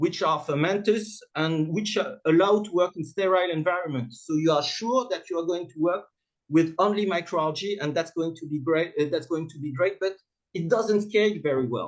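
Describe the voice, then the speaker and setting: With a French accent, a man talks in a high voice, his pitch varying in an ordinary way while his loudness swings widely. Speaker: startup founder and CEO. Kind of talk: conference presentation. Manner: halting, many fillers; fast.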